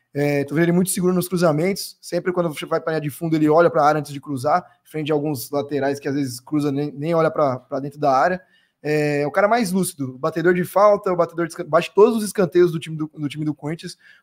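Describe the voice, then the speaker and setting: This man speaks at a very fast pace with hardly any pauses, in a fairly high pitch with ordinary pitch variation. The background is quiet. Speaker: football commentator. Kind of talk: live sports talk show. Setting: studio. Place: studio. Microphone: studio mic.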